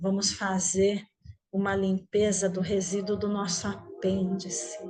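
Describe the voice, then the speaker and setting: A woman talks at a very slow pace with a soothing tone and a medium pitch. Her intonation stays monotone and flat. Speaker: meditation teacher. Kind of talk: guided meditation. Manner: slow, soothing.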